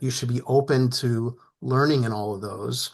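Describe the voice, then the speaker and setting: The background stays quiet. It is an unremarkable speaking voice in an American accent, its pitch varying in an ordinary way. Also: man. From New Jersey. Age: 60s. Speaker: retired business executive, panelist. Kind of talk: panel discussion.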